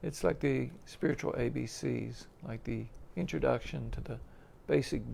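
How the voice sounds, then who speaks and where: Soft-spoken, a man talks at a fairly slow pace with a very deep, low pitch. His tone is dark and mellow, with vocal fry. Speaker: spiritual teacher. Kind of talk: religious class. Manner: halting, many fillers.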